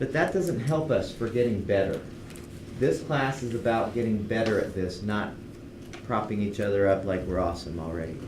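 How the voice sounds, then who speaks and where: Audible room echo surrounds a man who speaks at a moderate pace with lively intonation. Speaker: university instructor. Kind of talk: lecture.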